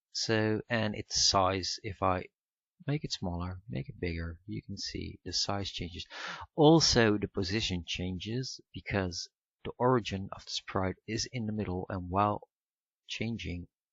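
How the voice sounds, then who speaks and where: His voice sits fairly low for a man, with ordinary pitch variation. This man speaks at a fairly slow pace. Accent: Dutch. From Netherlands. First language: Dutch. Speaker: software tutorial maker. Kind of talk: tutorial. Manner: halting, many fillers.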